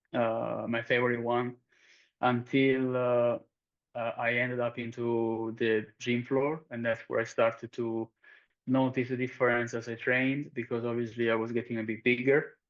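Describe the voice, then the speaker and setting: With a strong southern Italian accent, a man speaks at a moderate pace in a monotone, flat intonation. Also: medium pitch for a man. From southern Italy, Calabria. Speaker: performance coach. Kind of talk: interview. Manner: halting, many fillers.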